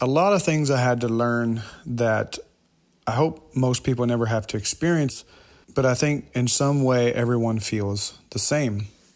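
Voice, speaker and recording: An unremarkable speaking voice from a man with an American accent, medium in pitch, at a moderate pace with ordinary pitch variation. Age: 30s. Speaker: podcast host. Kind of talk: personal storytelling monologue.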